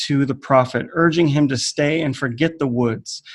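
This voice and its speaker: A man with an American accent speaks at a fairly slow pace in a plain, everyday voice, his fairly high pitch showing ordinary variation. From United States. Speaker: writer and teacher. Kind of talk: conference presentation. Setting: online video call.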